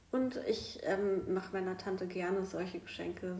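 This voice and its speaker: Audible room echo accompanies a woman speaking at a moderate pace and a medium pitch. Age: 30s. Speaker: podcast host, primary school worker. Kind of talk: casual chat. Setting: at home at the dining table.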